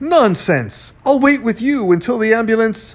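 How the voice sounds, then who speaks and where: Using a put-on character voice, a man speaks high and raised, projecting with lively intonation. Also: moderate pace. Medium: read story. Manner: flustered, earnest.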